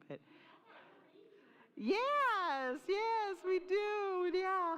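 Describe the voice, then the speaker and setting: A woman talks against noticeable background noise. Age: 60s. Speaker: minister. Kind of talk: sermon. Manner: casual, conversational.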